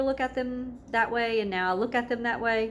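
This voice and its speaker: A woman speaks with a Southern US accent. Her intonation stays fairly even at a moderate pace. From US South. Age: 30s. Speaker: wellness vlogger and massage therapist. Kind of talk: casual vlog introduction.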